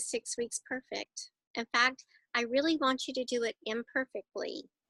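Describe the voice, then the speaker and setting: An American-accented woman projects a raised voice at a high pitch with a bright, sharp tone. Her intonation is fairly even, her pace moderate, and the sound dry and close with no echo. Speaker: wellness program coach. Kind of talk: interview.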